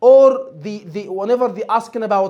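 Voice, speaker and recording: A man speaks loudly in an animated tone, his pitch high for a man. His pitch rises and falls in an ordinary way. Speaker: medical exam tutor. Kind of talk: lecture. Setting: online course session.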